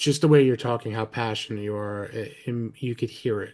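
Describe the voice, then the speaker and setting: A man talks with a New Jersey accent at a moderate pace. His tone is dark and mellow. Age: 40s. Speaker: podcast host. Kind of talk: casual interview chat.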